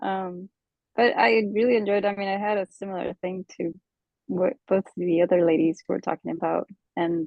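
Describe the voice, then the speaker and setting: A quiet female voice, fairly low in pitch, with ordinary pitch variation at a moderate pace. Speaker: artist, coaching participant. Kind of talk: casual chat.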